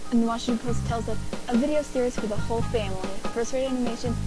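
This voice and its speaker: Music plays behind the speaker. She is a woman talking very fast. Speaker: amateur voice actor. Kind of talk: promo trailer narration.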